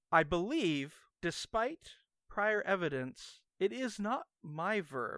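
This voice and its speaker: In a very clean recording with a silent background, a man talks very slowly in a playful tone, his high voice making very wide pitch swings. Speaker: podcast co-host. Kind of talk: casual banter podcast chat. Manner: joking, playful.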